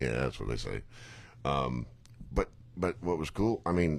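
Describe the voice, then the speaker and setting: A man talks at a moderate pace with lively intonation. His voice has vocal fry. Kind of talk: casual chat.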